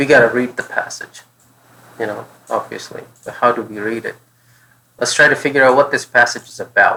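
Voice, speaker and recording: A man talking at a fairly quick pace, with long, frequent pauses and big swings in loudness. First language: not English. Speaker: test prep tutor. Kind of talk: tutorial. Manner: thinking aloud, casual.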